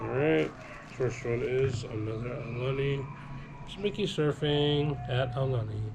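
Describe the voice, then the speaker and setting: A man talks at medium pitch with ordinary pitch variation and a fairly slow pace. Audible room echo and noticeable background noise are present. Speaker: family vlogger. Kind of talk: casual haul vlog.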